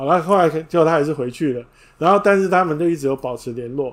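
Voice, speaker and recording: The voice moves with lively intonation at a fairly quick pace. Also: man. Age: 50s. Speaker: book review podcaster. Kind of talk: livestream book talk.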